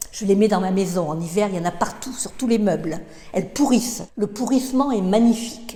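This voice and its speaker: At a fairly quick pace, a woman speaks over noticeable background noise. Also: medium pitch for a woman, ordinary pitch variation. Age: 70s. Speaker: interviewee sharing personal views. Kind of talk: interview. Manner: halting, with many hesitations and repetitions.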